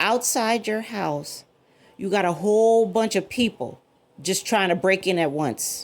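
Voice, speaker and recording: On a very clean recording with a silent background, a woman speaks at a fairly slow pace with lively intonation and an animated tone. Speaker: cyber security commentator. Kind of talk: casual monologue video. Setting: at home. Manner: loud.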